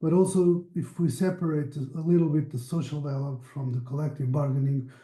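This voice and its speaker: At a moderate pace, a man with a fairly high pitch speaks in a dark, mellow, somewhat breathy tone with fairly even intonation. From Portugal. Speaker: meeting moderator, researcher. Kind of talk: online project meeting discussion. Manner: halting, self-correcting.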